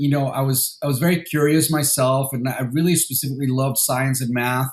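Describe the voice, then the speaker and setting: A man talks at a fairly quick pace. His delivery is monotone and flat, and somewhat breathy. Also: medium pitch for a man. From Mexico City, then San Diego from age 13. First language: Spanish. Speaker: venture capital investor. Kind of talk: interview. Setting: podcast interview. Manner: halting, many fillers and repetitions.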